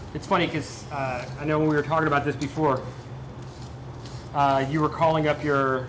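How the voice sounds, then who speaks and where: A man with an American accent at a fairly high pitch, flat and monotone, with long, frequent pauses, audible room echo and noticeable background noise. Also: moderate pace. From Delaware, US. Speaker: cooking show host. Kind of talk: cooking show chat. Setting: working kitchen, on set. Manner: casual, chatty.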